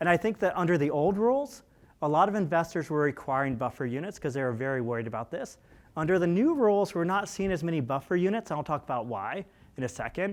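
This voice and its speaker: A man's high-pitched, very fast speech with very wide pitch swings, over a quiet background. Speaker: CPA presenter at housing conference. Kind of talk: conference presentation. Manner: animated.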